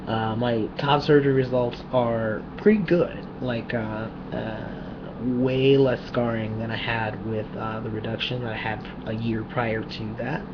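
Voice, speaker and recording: Soft-spoken and at a fairly slow pace, a man with a medium pitch keeps fairly even intonation, with audible room echo and noticeable background noise. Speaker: vlogger. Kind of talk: personal video diary.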